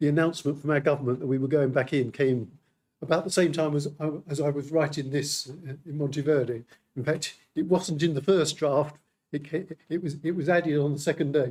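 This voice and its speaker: A man with a British accent, fairly high in pitch, at a fairly quick pace with fairly even intonation. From United Kingdom. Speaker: metrology official speaking at a symposium. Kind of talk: conference presentation. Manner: halting, many repetitions.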